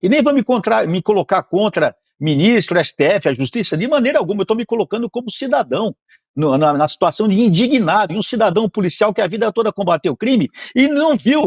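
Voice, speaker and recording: In a quiet background with dry, close sound and no echo, a man with a high pitch talks at a fairly quick pace, his tone animated and his intonation lively. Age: 60s. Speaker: police officer and politician. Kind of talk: interview.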